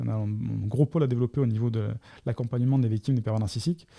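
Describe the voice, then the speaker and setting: A man's very fast speech with a dark, mellow tone, somewhat breathy, at medium pitch with ordinary pitch variation, in a dry, close sound with no echo, on a very clean recording with a silent background. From southern France, Côte d'Azur. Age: 40s. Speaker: coach. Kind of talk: Q&A monologue. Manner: halting.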